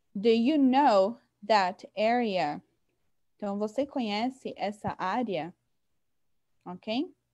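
A woman at a fairly high pitch with a dark, mellow tone and lively intonation, very slow and full of long, frequent pauses, over a quiet background. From São Paulo, Brazil. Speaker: English teacher. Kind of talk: online lesson. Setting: video call. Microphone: video call.

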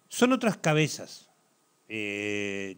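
A man talks at a very slow pace. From Uruguay. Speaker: football commentator; talk show guest. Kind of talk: TV sports talk show. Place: studio.

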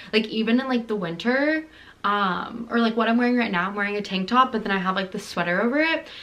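Her voice is bright and sharp, pitched fairly high for a woman. She speaks at a very fast pace with ordinary pitch variation. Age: 20s. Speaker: lifestyle vlogger. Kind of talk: casual vlog monologue. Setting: at home filming closet. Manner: chatty, heavy filler words. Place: home room. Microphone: phone near.

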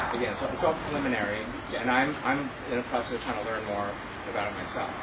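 Loud background noise sits under speech delivered at a fairly quick pace. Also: man. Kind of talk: answer at community meeting. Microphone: camera far.

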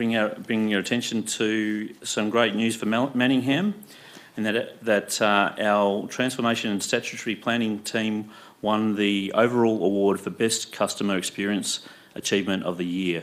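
A man's fairly low voice, a normal speaking voice, at a moderate pace with fairly even intonation. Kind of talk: formal meeting announcement. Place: meeting room. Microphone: podium.

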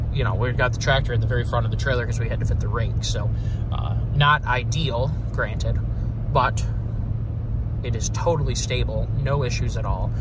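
Loud background noise runs under this man's voice. The sound is dry with no echo, and his pace is fairly quick. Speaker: farmer vlogger. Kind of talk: casual vlog chat. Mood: relaxed, pleased. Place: car. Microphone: phone near.

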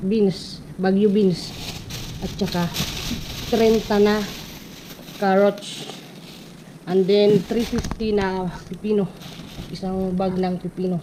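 A woman with a strong Eastern Visayas accent speaks at a medium pitch in a monotone, flat intonation, at a very slow pace with long, frequent pauses, against noticeable background noise. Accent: Waray-accented Tagalog, strong. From Eastern Visayas (Waray region). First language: Waray (speaking Tagalog). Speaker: vlogger. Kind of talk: casual vlog narration.

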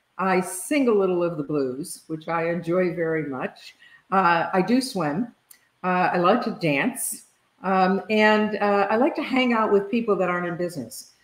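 With an American accent, a woman speaks with lively intonation. The room echo can be heard. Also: moderate pace. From US. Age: 70s. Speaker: leadership consultant and author; guest. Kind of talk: interview conversation. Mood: relaxed, warm. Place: home room. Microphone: video call.

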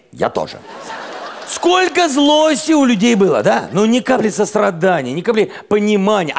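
Light background noise sits behind the speaker. He is a man talking at a moderate pace. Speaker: comedian host. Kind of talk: stand-up comedy monologue. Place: stage. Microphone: headset.

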